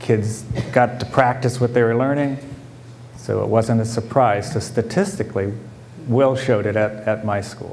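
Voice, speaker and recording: An ordinary speaking voice comes from a man with an American accent, medium pitch and fairly even intonation, moving at a moderate pace over light background noise. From California foothills. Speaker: school principal; school principal on panel. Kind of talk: panel talk. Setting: conference panel with audience. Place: hall. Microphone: lapel.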